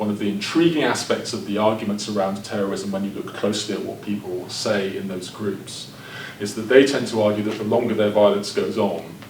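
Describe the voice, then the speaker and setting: A man talks fairly quickly at a fairly low pitch, his intonation fairly even, with noticeable background noise. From Northern Ireland (Belfast). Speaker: professor. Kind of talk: lecture. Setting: seminar with audience.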